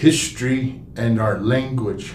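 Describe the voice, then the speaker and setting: A man talks at a medium pitch, with room echo clearly audible around him. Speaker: museum general manager. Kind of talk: live stream talk. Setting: live stream from historical park. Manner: halting, many fillers.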